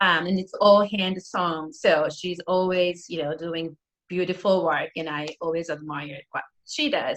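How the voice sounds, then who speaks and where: A woman with a Japanese accent, fairly low in pitch, at a fairly slow pace with ordinary pitch variation. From northeastern Japan, Aomori. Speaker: preschool teacher and musician. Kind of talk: casual interview.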